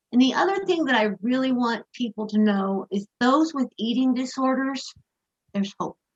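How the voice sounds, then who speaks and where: The recording has a dry, close sound with no echo as a woman speaks in a high voice at a moderate pace with lively intonation. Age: 60s. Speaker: interview guest, eating disorder recovery advocate. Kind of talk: podcast interview.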